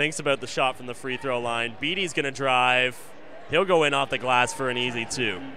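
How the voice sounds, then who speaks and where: The tone is energetic and the pace fairly quick, with ordinary pitch variation. There is noticeable background noise. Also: man, medium pitch for a man. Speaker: play-by-play commentator. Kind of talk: live sports commentary. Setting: broadcast from arena. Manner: rapid-fire, clipped play-by-play, calling each pass, drive and shot as it happens; energetic, steady broadcast delivery.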